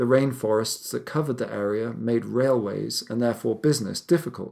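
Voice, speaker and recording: A man speaks at a moderate pace and medium pitch, in a plain, everyday voice, on a very clean recording with a silent background. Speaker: podcast narrator. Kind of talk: history documentary narration. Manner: measured, authoritative storyteller; steady, serious, gravely somber.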